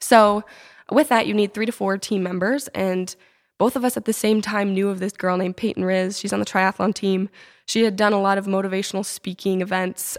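A woman with a normal speaking voice, medium in pitch, at a fairly quick pace with fairly even intonation, on a very clean recording with a silent background and a dry, close sound with no echo. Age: 20s. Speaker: startup founder and college student. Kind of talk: casual interview.

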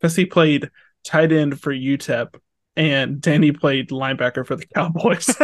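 An ordinary speaking voice from a man, fairly high in pitch, at a moderate pace with fairly even intonation. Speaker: podcast co-host. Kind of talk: casual chat.

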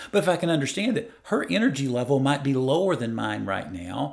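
Fairly high male pitch with very wide pitch swings, vocal fry and a moderate pace. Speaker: life coach. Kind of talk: casual interview conversation.

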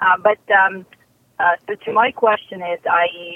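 The pace is very slow. A woman delivers it at a medium pitch. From Soviet Union. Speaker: caller planning self-employment. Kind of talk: call-in question. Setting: phone call.

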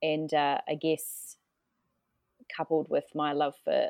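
A woman speaks with a New Zealand accent in a dry, close sound with no echo. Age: 30s. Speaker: event manager. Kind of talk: podcast interview. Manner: halting.

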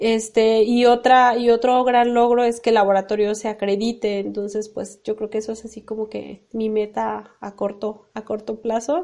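In a Mexican accent, a woman with a fairly high pitch speaks at a moderate pace in monotone, flat intonation, with hardly any pauses. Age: 30s. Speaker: civil engineer. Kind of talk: interview. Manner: halting.

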